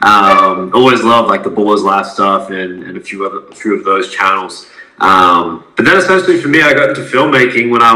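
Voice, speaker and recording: Noticeable background noise sits behind the speaker. A man talks at a fairly quick pace in an Australian accent. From Adelaide, South Australia. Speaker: semi-professional basketball player and content creator. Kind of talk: casual interview.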